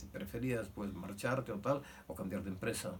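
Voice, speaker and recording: Somewhat breathy, a man speaks with ordinary pitch variation amid audible room echo. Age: 80s+. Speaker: son of a victim of Franco-era repression. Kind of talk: testimony. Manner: halting.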